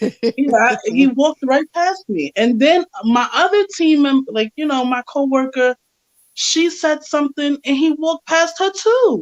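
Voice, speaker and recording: Loud and high-pitched, a woman talks at a fairly slow pace with lively intonation, the sound dry and close with no echo. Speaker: author. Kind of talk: casual chat. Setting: podcast.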